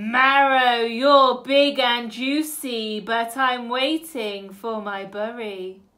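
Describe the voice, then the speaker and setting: A woman bellows in a put-on character voice pitched high. She delivers it at a very slow pace. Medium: read story. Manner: roaring.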